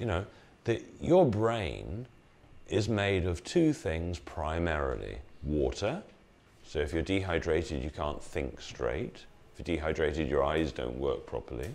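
With an English accent, a man speaks at a very deep, low pitch. His intonation is lively and his voice carries vocal fry. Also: fairly slow pace. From England. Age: 60s. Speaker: health educator. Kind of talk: talk to live audience. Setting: room with live audience. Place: hall. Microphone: lapel.

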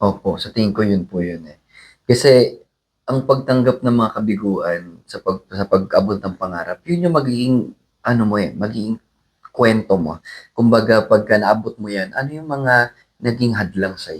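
A man with a plain, everyday voice speaks at a moderate pace and medium pitch, with ordinary pitch variation and big swings in loudness. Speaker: singer. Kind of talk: interview.

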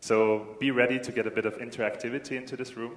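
Audible room echo surrounds a man speaking at a moderate pace. His medium-pitched voice has monotone, flat intonation. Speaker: event host. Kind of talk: event announcements. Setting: stage with audience. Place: hall.

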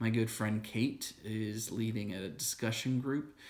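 Calm and soothing, a man speaks fairly slowly in a monotone, flat intonation. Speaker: church video host. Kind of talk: guided breath prayer, led slowly with spoken prayers and breaths. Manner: calm, slow, soothing, gentle pacing; halting with frequent fillers in teaching. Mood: calm, gentle, contemplative. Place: home room. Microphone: phone near.

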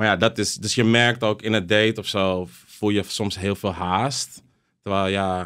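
A man's fairly low-pitched voice, a normal speaking voice, with fairly even intonation over a quiet background. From Amsterdam, Jordaan; Netherlands. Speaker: DJ and content creator; DJ, content creator. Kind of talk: casual chat. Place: studio. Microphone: studio mic.

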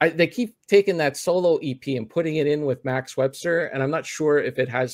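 A man with a plain, everyday voice, fairly high in pitch, speaks at a fairly quick pace in a dry, close sound with no echo. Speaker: podcast host. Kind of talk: casual chat. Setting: video call.

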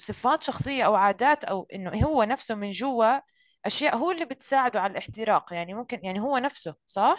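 An ordinary speaking voice moves at a fairly quick pace with lively intonation and hardly any pauses. The sound is dry with no echo against a quiet background. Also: woman, fairly high pitch for a woman. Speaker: career coach and social media influencer; career coach, social media influencer. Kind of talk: hosting online live session. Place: home room. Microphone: sounds distant, far from the mic; video call.

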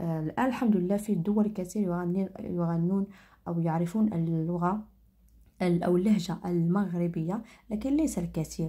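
A woman speaks in a dark, mellow, somewhat breathy tone, with a fairly low pitch and ordinary pitch variation. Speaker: crafts tutorial creator. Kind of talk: tutorial. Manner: halting, many fillers and restarts.

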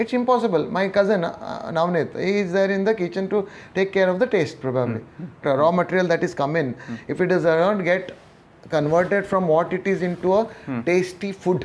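His pitch sits high. The man talks at a fairly quick pace. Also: ordinary pitch variation. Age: 40s. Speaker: entrepreneur. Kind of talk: interview. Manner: hesitant, many fillers. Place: home room.

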